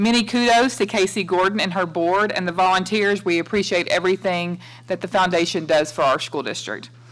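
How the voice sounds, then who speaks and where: A woman's fairly quick delivery with ordinary pitch variation. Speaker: superintendent giving report. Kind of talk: formal report announcements. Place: meeting room. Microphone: podium.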